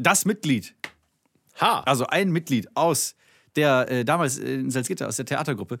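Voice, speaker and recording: A man at a moderate pace with a fairly high pitch, lively intonation, vocal fry, and long, frequent pauses. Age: 30s. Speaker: podcast co-host, comedian. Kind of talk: casual chat.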